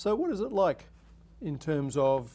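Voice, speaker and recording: This man has an Australian accent. His tone comes across as dark and mellow. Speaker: TV talk show host, academic. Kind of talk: interview. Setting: studio.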